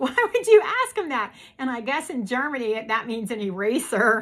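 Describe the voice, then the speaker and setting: A woman speaks in a raised, projected voice with a bright, sharp tone. She has a strong Pittsburgh accent. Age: old. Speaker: YouTube host. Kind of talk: casual chat.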